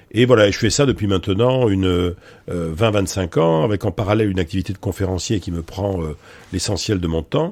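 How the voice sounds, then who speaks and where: At a fairly quick pace, a man talks with a very deep, low pitch and ordinary pitch variation. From France, Bordeaux. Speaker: professor and public speaker. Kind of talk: interview conversation. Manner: hesitant, many fillers.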